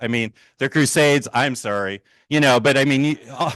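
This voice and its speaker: An animated man with an American accent speaks at medium pitch. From Minnesota. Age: 60s. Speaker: political cartoonist. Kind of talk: public talk.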